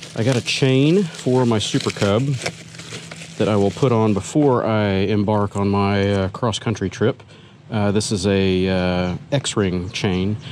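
With a normal speaking voice, a man talks at a fairly slow pace and fairly low pitch, with ordinary pitch variation and very even loudness, in a dry sound with no echo over light background noise. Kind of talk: casual vlog chat. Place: street. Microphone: phone near.

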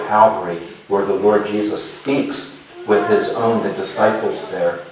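There is audible room echo around this man's voice. Light background noise can be heard too. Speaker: pastor preaching. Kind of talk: sermon. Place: church.

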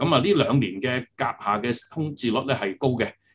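The man's voice is somewhat breathy. He keeps to a moderate pace. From Hong Kong. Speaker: property agency executive; guest. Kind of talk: interview. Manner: halting, many fillers. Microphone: video call.

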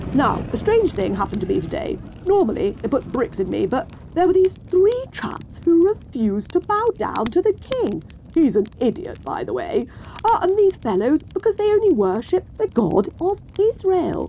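A put-on character voice at an extremely high pitch runs at a moderate pace over clear background noise. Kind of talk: comic overacting, posh old-fashioned exclamations. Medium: comedy sketch. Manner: excitable, jolly, eccentric.

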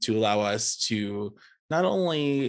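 A man speaks with lively intonation. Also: quiet background. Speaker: workshop instructor. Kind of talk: tutorial. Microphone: video call.

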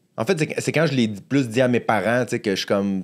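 A man speaks at a fairly slow pace. His pitch variation is ordinary, and the background is quiet. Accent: Quebec. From Quebec. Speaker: stand-up comedian. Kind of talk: casual interview. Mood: earnest, reflective on anxiety. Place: studio. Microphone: studio mic.

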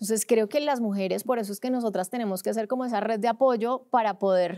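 Against a quiet background, a woman talks at a fairly quick pace in a dark, mellow tone with ordinary pitch variation. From Colombia, Cúcuta (border region); Colombia. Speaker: sports journalist; sports journalist guest. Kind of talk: podcast interview. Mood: engaged, passionate. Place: studio. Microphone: studio mic.

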